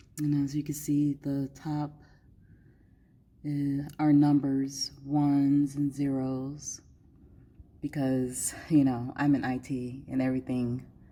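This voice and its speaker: A woman's very deep, low, dark and mellow voice in monotone, flat intonation, at a very slow pace with long, frequent pauses, in a very clean recording with a silent background. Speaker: IT professional. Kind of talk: prepared presentation. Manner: loud.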